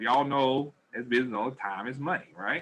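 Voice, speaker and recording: A man speaks at a medium pitch with a bright, sharp tone and ordinary pitch variation. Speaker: business training presenter. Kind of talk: webinar presentation. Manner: fast; animated.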